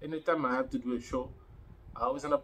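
Light background noise accompanies the recording. A man speaks at a fairly quick pace. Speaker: fitness vlogger. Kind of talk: casual vlog chat. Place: home room. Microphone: phone near.

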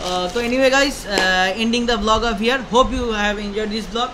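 A man speaks in a raised, projected voice at a fairly quick pace with fairly even intonation over noticeable background noise. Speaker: travel vlogger. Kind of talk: casual vlog chat. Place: home room. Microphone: phone near.

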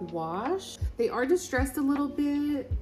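The voice moves at a fairly slow pace. Clear music plays in the background. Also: woman. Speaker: fashion vlogger. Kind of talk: casual vlog chat. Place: home room. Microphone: phone near.

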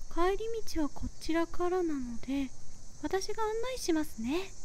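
Over clear background noise, a woman uses a put-on character voice at an extremely high pitch and a moderate pace. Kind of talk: ASMR roleplay. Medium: solo performance. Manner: very polite, soft-spoken.

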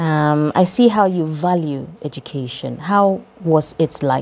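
A woman speaks at a very slow pace in a very deep, low pitch, with ordinary pitch variation. Light background noise is audible. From Ghana. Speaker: radio host. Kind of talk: casual interview. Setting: studio. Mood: warm, smiling. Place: studio. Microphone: lapel.

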